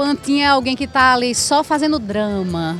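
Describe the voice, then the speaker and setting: Music sounds behind a woman's voice. Her high pitch swings very widely. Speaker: street reporter. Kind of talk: street interview questions.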